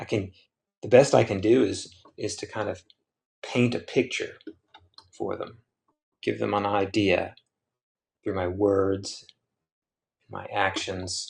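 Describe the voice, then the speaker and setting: A man speaks quietly at a very slow pace. He leaves long, frequent pauses. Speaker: printmaker and artist. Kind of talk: casual livestream musing. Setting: livestream while carving.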